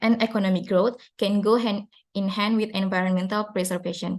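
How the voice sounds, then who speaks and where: A woman speaks in an Indonesian accent at a fairly quick pace. Her intonation stays fairly even. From Indonesia, South Sulawesi (Makassar). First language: Duri, Bugis, Toraja, Makassar languages. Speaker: university student. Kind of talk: student presentation. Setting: live online seminar. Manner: hesitant, with fillers.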